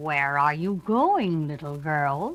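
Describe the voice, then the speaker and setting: A woman's put-on character voice with a very deep, low pitch. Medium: read story. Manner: falsely polite, sly.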